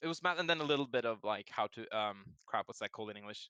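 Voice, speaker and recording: Speaking very fast with a Norwegian accent, a man with a medium pitch and a bright, sharp tone uses lively intonation, recorded with a dry, close sound with no echo against a quiet background. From Norway. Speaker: game designer. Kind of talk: casual interview.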